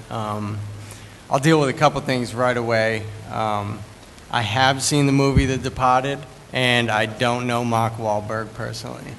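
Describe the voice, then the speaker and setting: A man with a Boston accent at medium pitch and moderate pace, fairly even in intonation, with audible room echo and noticeable background noise. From US Northeast, Boston. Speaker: recovering addict speaker. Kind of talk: testimony.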